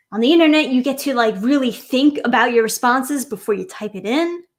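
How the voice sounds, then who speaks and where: A woman with a New York accent talks in an animated tone at a high pitch. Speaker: streamer. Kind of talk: casual livestream rant.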